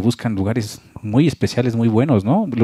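Over a dry sound with no echo, a man talks at a fairly quick pace in a dark, mellow tone with fairly even intonation. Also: quiet background. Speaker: web show host. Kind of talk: casual interview. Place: home room. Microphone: handheld.

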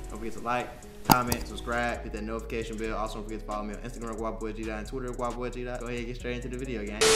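Over loud music in the background, a man speaks at a very fast pace. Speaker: youtuber. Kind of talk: casual vlog chat.

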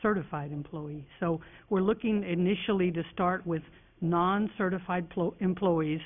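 This is an unremarkable speaking voice. The pace is moderate. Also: woman. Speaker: school district administrator. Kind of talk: formal board meeting presentation. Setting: public meeting room.

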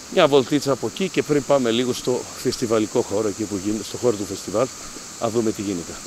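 A man's medium-pitched voice at a very fast pace over noticeable background noise. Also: ordinary pitch variation. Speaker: festival presenter and video reporter. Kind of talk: live on-location reporting with street interviews. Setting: outdoors at riverside hot springs festival. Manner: animated.

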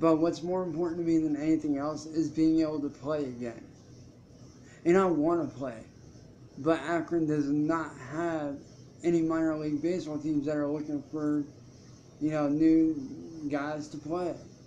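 Over light background noise, a man with a fairly high pitch and a dark, mellow tone speaks at a moderate pace in a monotone, flat intonation, with long, frequent pauses. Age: 20s. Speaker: YouTuber and musician; YouTuber. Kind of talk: live stream monologue. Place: home room. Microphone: webcam.

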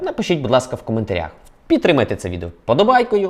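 The voice makes very wide pitch swings against noticeable background noise. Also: man. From Ukraine, Volyn. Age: 30s. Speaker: video blogger. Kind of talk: news vlog monologue.

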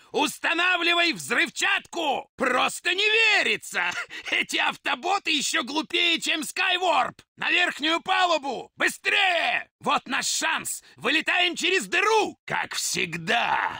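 A put-on character voice from a man, pitched extremely high. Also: fairly slow pace. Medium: dub. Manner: shouting, commanding, with gloating laughter.

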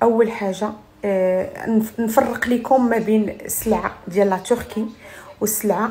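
The speaker is a woman. Her pitch variation is ordinary. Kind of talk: casual vlog chat. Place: home room. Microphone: phone near.

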